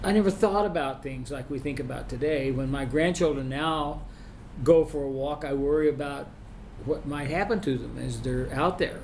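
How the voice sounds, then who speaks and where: Amid audible room echo, a man speaks at a fairly high pitch with ordinary pitch variation. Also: moderate pace. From Oklahoma (Sapulpa, near Tulsa). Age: 70s. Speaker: retired band director and music professor. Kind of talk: interview. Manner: halting, many restarts and fillers.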